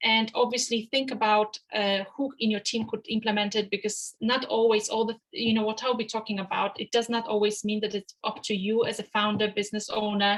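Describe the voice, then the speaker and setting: A woman's somewhat breathy, fairly high voice at a fairly quick pace, monotone and flat, with hardly any pauses. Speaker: finance webinar presenter. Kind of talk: webinar presentation. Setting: video call. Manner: fast; hesitant with many fillers.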